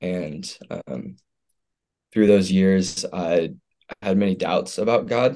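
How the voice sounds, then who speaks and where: A man with a dark, mellow tone and fairly low pitch speaks very slowly with ordinary pitch variation and long, frequent pauses. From Houston, Texas. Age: 20s. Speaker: college football player. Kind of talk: personal testimony.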